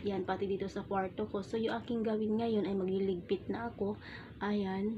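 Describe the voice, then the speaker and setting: This soft-spoken woman has a gentle, somewhat breathy tone at a medium pitch. Her intonation stays monotone and flat at a moderate pace. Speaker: vlogger. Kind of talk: casual vlog talk. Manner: gentle, soft-spoken. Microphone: phone camera.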